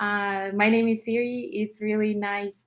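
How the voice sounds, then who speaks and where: Speaking at a fairly slow pace, a woman with a Russian accent uses a medium pitch. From Russia (Armenian-born, moved at five). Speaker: nail artist and educator. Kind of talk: interview. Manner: hesitant, many fillers.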